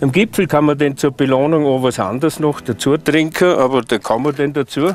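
Faint music sits in the background as a man speaks in a dry sound with no echo. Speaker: hiking guide. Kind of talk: casual tutorial advice. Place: open country. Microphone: lapel.

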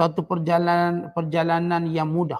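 A man's high-pitched voice. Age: old. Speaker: religious teacher. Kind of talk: religious lecture. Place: studio. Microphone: headset.

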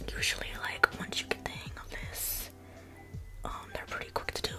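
Over clear music in the background, a woman is whispering. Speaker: ASMR creator. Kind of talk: casual makeup tutorial talk to camera. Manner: whispered. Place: home room. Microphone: studio mic.

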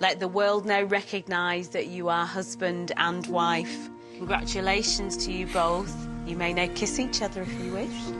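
Clear music plays behind a woman with a fairly low pitch. Her intonation is lively and her pace moderate. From Bolton, England. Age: 60s. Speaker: wedding registrar and celebrant. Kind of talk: wedding ceremony officiating. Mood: warm, formal, smiling. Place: hall.

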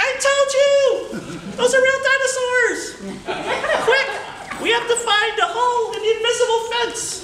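A man puts on a character voice with an extremely high pitch, speaking at a moderate pace with long, frequent pauses. There is slight echo and clear background noise. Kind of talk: storytelling speech at a tall tales contest. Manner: excited, urgent.

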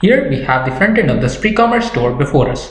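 Strong room echo surrounds a man who speaks at a fairly quick pace with lively intonation.

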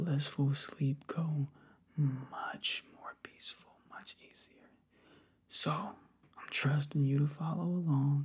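A soft-spoken, whispering man with a soothing, somewhat breathy tone, a very slow pace, long, frequent pauses and a quiet background. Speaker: relaxation guide. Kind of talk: soft guided relaxation talk. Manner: soft ASMR whisper, soothing. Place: home room. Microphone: webcam.

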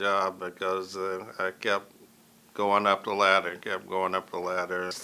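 A man talks at a moderate pace. His tone is bright and sharp. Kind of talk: interview answer. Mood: calm, reflective. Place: studio.

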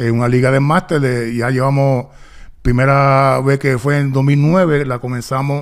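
A man talks fairly slowly, his intonation fairly even, with a quiet background behind him. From Puerto Rico, raised partly in Los Angeles. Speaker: retired basketball player; guest. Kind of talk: interview. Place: studio. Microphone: studio mic.

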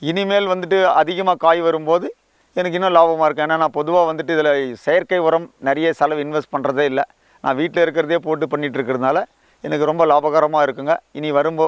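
A plain, everyday voice from a man, fairly high in pitch, with fairly even intonation and a dry, close sound with no echo. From Tamil Nadu, Vellore district. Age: 50s. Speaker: farmer, army veteran. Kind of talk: interview testimony. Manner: colloquial, filler-heavy.

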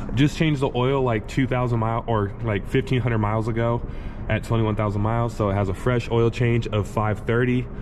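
A man keeps a moderate pace and fairly even intonation while noticeable background noise plays behind him. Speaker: private car seller. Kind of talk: casual walkthrough. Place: garage. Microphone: phone near.

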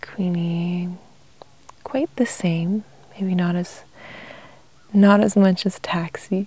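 Soft-spoken delivery at a very slow pace, with a dry sound and no echo. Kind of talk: calm casual talk about pets. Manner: soft-spoken ASMR murmur.

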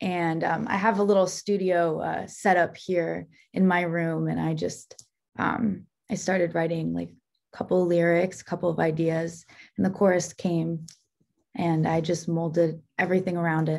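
A woman with an American accent speaks at a moderate pace in a fairly low voice, her intonation flat and monotone against a quiet background. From New Jersey, Bergen County; New Jersey. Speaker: singer-songwriter; guest. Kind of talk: casual interview. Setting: video call. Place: home room. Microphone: video call.

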